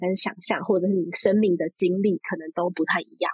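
A woman talks at a fairly quick pace in a somewhat breathy voice. The sound is dry and close, with no echo. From Taiwan, Taipei. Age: 30s. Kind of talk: interview conversation.

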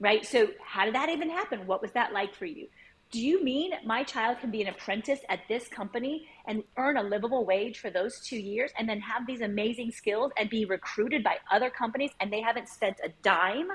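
An ordinary speaking voice from a woman, fairly high in pitch, with lively intonation and a fairly quick pace. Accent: American. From United States. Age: 50s. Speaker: education consultant. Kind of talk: interview.

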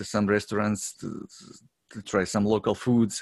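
A man speaks with a Croatian accent in a fairly low pitch. He goes at a fairly slow pace against a quiet background. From Croatia, Zagreb. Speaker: long-distance hiker. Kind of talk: interview. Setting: remote call. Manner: halting.

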